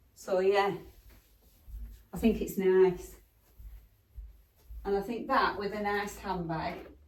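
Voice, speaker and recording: A woman speaks at a very slow pace with medium pitch and fairly even intonation. Long, frequent pauses break her speech, and the room echo is audible. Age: 60s. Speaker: fashion vlogger. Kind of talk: try-on haul vlog. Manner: chatty, casual with hesitations.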